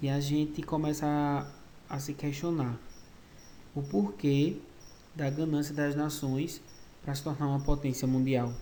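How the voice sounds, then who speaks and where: Audible room echo surrounds a man with a fairly high pitch who speaks at a fairly slow pace in a monotone, flat intonation, with long, frequent pauses. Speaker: school history teacher. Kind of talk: online lecture. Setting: recorded virtual class.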